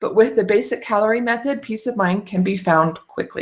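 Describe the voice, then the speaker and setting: Here a woman's voice is somewhat breathy. Its pitch variation is ordinary. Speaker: food storage educator. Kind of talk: tutorial. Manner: fast.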